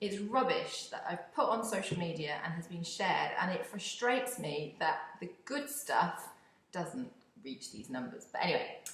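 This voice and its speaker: In a British accent, a woman speaks at a moderate pace with very wide pitch swings. Noticeable background noise and audible room echo fill the recording. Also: medium pitch for a woman. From UK. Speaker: podcast host, community engagement consultant. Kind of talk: casual monologue. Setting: home office.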